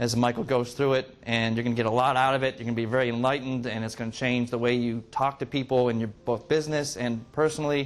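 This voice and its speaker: This man talks at a very fast pace in a medium pitch. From Massachusetts, US. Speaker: meetup group organizer. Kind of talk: group meeting talk to audience.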